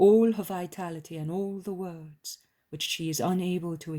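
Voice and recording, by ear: Someone is reading aloud in a natural voice with fairly even intonation. The background is quiet.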